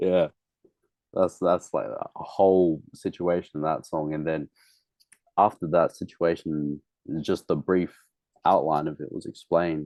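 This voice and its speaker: In a dry, close recording with no echo, a man with an Australian accent speaks in a very deep, low pitch and a dark, mellow tone, his intonation flat and monotone, with long, frequent pauses. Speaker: musician. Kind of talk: casual interview. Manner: casual, slangy with hesitations.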